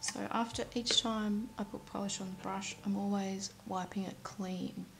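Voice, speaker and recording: Over noticeable background noise, a woman with a medium-pitched voice speaks with an Australian accent. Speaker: nail art YouTuber. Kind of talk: tutorial.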